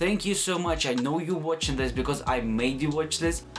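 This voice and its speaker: A man with a non-native accent at a fairly quick pace, lively intonation and music in the background. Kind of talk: casual talk to camera.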